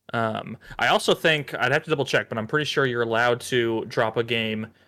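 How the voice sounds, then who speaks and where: A man talks at a fairly quick pace in a plain, everyday voice. His medium pitch carries fairly even intonation. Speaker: video game podcast co-host. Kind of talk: casual chat.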